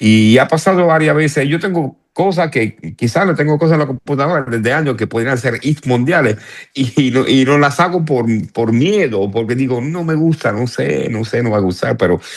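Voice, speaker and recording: A man with a Cuban accent, lively intonation, and a moderate pace. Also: medium pitch for a man. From northern Italy (Turin). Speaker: salsa pianist. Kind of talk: interview. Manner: halting, many restarts.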